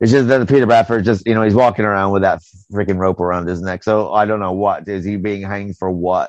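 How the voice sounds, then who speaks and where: Talking at a very fast pace, a man with an American accent uses a fairly low pitch and fairly even intonation. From United States. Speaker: podcast host. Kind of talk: casual chat. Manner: casual, conversational.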